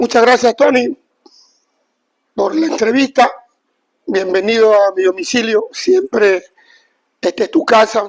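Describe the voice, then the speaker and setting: Pitched extremely high, a man speaks fairly slowly with lively intonation and long, frequent pauses. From Ecuador, Esmeraldas coast (Limones, Eloy Alfaro). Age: 70s. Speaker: former professional footballer. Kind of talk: interview.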